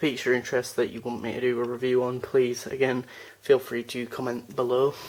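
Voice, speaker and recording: With noticeable background noise behind him, a man talks fairly quickly at medium pitch. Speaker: YouTuber. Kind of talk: casual vlog.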